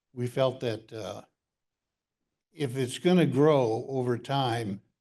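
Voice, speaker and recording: A man's medium-pitched voice, dark and mellow in tone, very slow in pace, with ordinary pitch variation. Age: 80s+. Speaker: ham radio designer presenting at symposium. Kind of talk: conference talk. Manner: hesitant with fillers.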